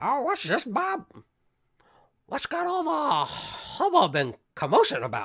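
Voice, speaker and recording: Delivered in a put-on character voice, the speech moves at a fairly slow pace with long, frequent pauses. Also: man, extremely high pitch for a man. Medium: actual play.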